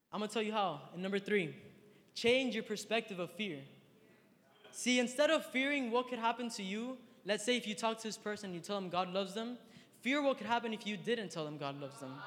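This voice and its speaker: Through noticeable background noise, a man speaks very fast at a high pitch, his tone animated and his intonation lively. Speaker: youth speaker. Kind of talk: sermon. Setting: stage with audience. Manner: animated, slangy.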